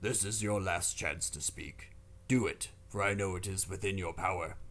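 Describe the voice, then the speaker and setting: A man's raspy, put-on character voice at a moderate pace, with clear background noise. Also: fairly low pitch for a man. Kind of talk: solemn religious legend. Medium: read story. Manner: stern, stately.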